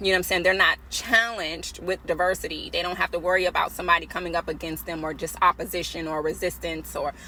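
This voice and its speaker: Speaking very fast, a woman is heard. Behind her there is noticeable background noise. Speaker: self-help author. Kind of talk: casual vlog commentary on own book.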